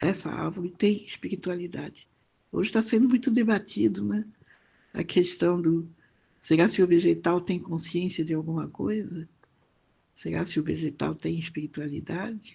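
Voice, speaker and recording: Lively intonation and vocal fry mark this dark, mellow voice, which moves at a moderate pace with long, frequent pauses. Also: woman, fairly low pitch for a woman. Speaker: professor. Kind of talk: lecture. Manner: hesitant, with many fillers.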